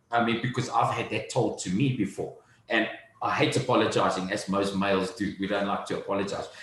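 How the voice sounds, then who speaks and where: Noticeable background noise and audible room echo surround the recording. A man talks at a fairly quick pace. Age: 30s. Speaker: entrepreneur. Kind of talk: interview.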